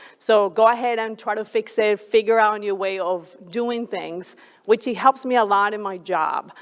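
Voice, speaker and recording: A woman speaks at a moderate pace with a Colombian accent. Her pitch is fairly high and her intonation fairly even. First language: Spanish. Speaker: flight director. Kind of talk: panel discussion.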